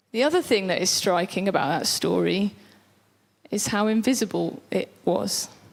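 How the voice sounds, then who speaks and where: A woman speaks loudly. Her pace is moderate. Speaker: preacher. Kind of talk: sermon. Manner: animated.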